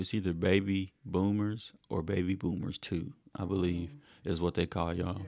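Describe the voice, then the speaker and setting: Very clean recording, silent background, and a man's very deep, low voice. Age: 20s. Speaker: podcast co-host and student. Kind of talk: casual chat.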